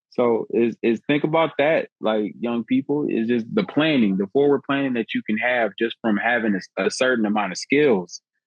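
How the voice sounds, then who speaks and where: An ordinary speaking voice moves at a moderate pace with ordinary pitch variation. There are hardly any pauses, and the loudness stays very even. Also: man, medium pitch for a man. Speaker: HVAC technician. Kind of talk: casual podcast chat.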